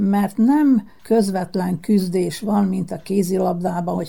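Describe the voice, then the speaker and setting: A woman speaks at a fairly slow pace and a medium pitch, with vocal fry. Her tone is dark and mellow. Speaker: former world champion bowler. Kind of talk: radio interview.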